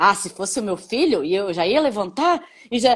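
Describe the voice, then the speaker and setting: A woman's voice makes very wide pitch swings on a very clean recording with a silent background. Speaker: mother discussing parenting. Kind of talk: casual chat.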